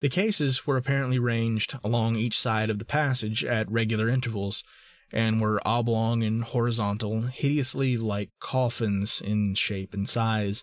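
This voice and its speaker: A plain, everyday voice, a man speaks at a moderate pace and medium pitch with fairly even intonation and very even loudness on a very clean recording with a silent background. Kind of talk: scripted narration. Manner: formal, archaic reading aloud.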